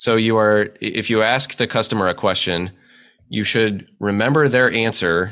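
A man with a Midwestern US accent, fairly low pitch, ordinary pitch variation and a fairly quick pace, on a very clean recording with a silent background. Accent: US Midwest. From central Nebraska (Hastings). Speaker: insurance executive. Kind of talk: interview.

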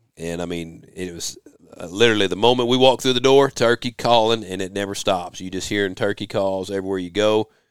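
Very fast and fairly low, a man talks in an American accent with big swings in loudness. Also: ordinary pitch variation. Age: 40s. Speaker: podcast host. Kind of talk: casual chat. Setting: home office.

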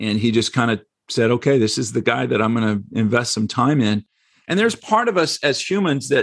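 On a very clean recording with a silent background, a man with an American accent and a normal speaking voice talks at a fairly quick pace with lively intonation. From United States. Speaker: real estate investor. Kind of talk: casual interview.

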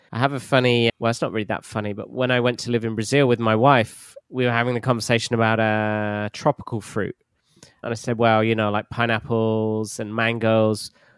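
A man with a London accent talks at a fairly quick pace. His medium pitch stays monotone and flat. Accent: southern English (London). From southern England, southwest. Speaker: English teacher. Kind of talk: casual chat.

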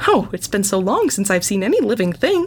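A woman's robotic, put-on character voice at a medium pitch and fairly quick pace, with clear background noise. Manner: chirpy; warm and emotional.

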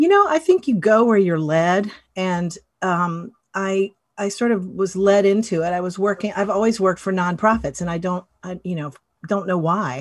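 Speaking in a normal speaking voice, a woman keeps a moderate pace and medium pitch with ordinary pitch variation. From US South, western North Carolina mountains. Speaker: animal rescue nonprofit volunteer. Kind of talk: interview.

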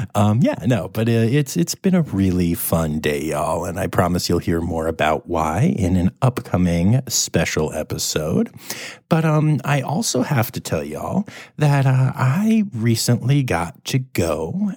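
A soft-spoken voice moves at a fairly slow pace with very wide pitch swings. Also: man. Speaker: podcast host. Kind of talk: casual news roundup. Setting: hotel room. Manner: soft-spoken, talking quietly.

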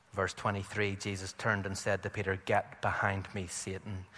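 Speaking at a fairly slow pace, a man with a Northern Irish accent has a fairly low pitch. His tone is bright and sharp. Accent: Northern Irish (Belfast). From Belfast, Northern Ireland. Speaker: visiting preacher. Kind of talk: sermon. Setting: church with congregation.

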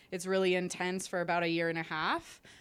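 A woman with a Canadian accent at a fairly quick pace, on a very clean recording with a silent background. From Canada. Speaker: sports psychologist. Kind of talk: interview. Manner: halting.

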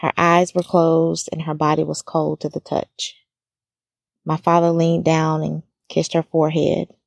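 A woman speaks at a moderate pace in an American accent, her pitch fairly low. Her intonation is flat and monotone, and the sound is dry and close with no echo. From US South, small-town Alabama. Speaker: podcast host. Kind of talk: personal testimony narration.

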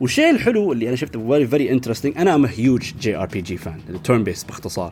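Speaking at a very fast pace, a man uses an animated tone at medium pitch with very wide pitch swings. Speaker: gaming podcaster. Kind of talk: casual monologue about a video game series. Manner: animated, fast talker, mixes English and Arabic.

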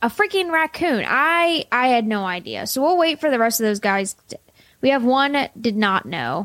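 The speaker is a woman with lively intonation. She talks at a moderate pace. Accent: Pittsburgh. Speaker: podcast co-host. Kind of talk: casual chat.

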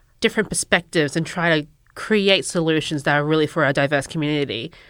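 With a normal speaking voice, a woman talks at a fairly quick pace and fairly low pitch, her pitch varying in an ordinary way, on a very clean recording with a silent background. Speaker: engineer. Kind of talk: casual interview.

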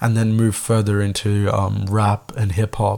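A man talks at a moderate pace in a fairly low voice. His tone is dark and mellow, and his intonation is monotone and flat. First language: Tamil. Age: 20s. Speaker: podcast host. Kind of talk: solo podcast monologue, casual. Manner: casual, rambling, filler-heavy.

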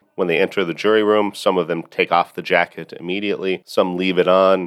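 Flat, monotone speech at a fairly quick pace comes through with a dry, close sound and no echo. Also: man. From United States. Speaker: podcast host and law professor. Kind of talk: educational podcast monologue.

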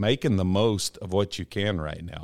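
A man with an American accent and an ordinary speaking voice talks at a moderate pace in a fairly low pitch, on a very clean recording with a silent background. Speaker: shed hauler and builder. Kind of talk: casual interview chat. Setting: studio.

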